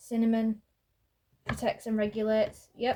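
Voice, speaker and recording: A woman speaks at a fairly high pitch. She is soft-spoken. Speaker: tarot card reader. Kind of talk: card reading.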